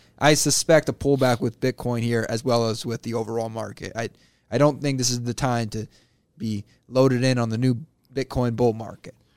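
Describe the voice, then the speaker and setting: At a fairly quick pace, a man with an unremarkable speaking voice talks at medium pitch with fairly even intonation, the sound dry and close with no echo. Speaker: financial advisor, co-host. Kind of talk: casual chat on a radio show. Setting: radio studio.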